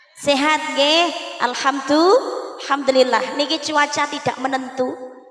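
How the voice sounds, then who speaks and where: Amid noticeable background noise and audible room echo, a woman with a high pitch speaks at a fairly slow pace. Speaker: preacher. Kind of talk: sermon.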